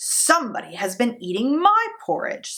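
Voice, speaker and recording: A put-on character voice, female-sounding, high-pitched, gruff and growling, with very wide pitch swings at a moderate pace. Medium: read story.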